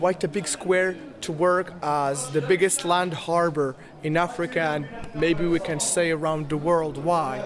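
A high-pitched man's voice at a fairly slow pace, with fairly even intonation over noticeable background noise. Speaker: storyteller and festival director. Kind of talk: interview.

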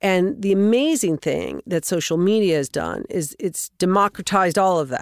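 A woman with a normal speaking voice and an American accent talks at medium pitch and a moderate pace, with lively intonation and hardly any pauses. The recording is very clean with a silent background, dry and close with no echo. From US West. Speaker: podcast host. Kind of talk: casual interview.

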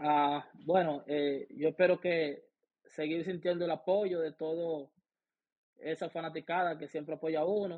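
A man talks at a fairly slow pace. His pitch is fairly high, and his intonation is fairly even. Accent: Dominican. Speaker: professional baseball player. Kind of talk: interview.

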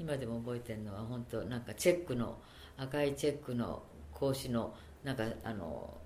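A woman speaks with a very deep, low pitch and a dark, mellow tone. Audible room echo surrounds her voice. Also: ordinary pitch variation, moderate pace. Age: 70s. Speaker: interviewee, Japanese expatriate author. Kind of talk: interview.

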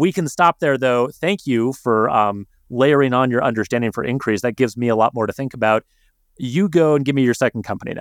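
In a General American accent, a man with an unremarkable speaking voice and medium pitch talks at a fairly quick pace with ordinary pitch variation, the sound dry and close with no echo and the recording very clean over a silent background. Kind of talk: casual chat.

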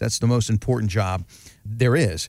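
Recorded very cleanly against a silent background, a man speaks at medium pitch with ordinary pitch variation in a plain, everyday voice. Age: 50s. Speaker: radio host. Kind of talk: radio show hosting.

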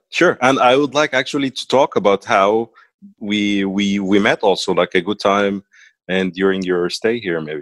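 With an Arabic accent, a man speaks at a moderate pace and fairly low pitch with ordinary pitch variation, in a dry, close sound with no echo and a quiet background. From Egypt, Cairo. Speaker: interviewee, expat professional. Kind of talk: interview.

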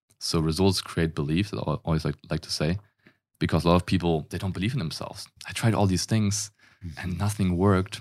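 The speaker talks at a fairly quick pace with a German accent and ordinary pitch variation. The recording is very clean, with a silent background. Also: man, very deep, low pitch for a man. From Germany. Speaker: fitness coach. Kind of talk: interview conversation.

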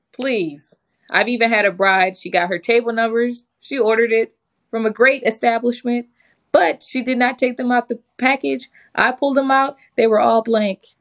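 In a dry, close recording with no echo, a woman with an American accent and an unremarkable speaking voice talks at a moderate pace, her fairly high pitch showing ordinary variation. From Michigan, Detroit area. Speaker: wedding planner. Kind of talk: podcast interview.

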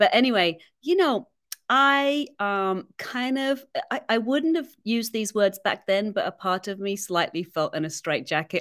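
A woman with an English accent speaks with lively intonation on a very clean recording with a silent background. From England. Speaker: violinist. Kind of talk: interview. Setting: studio.

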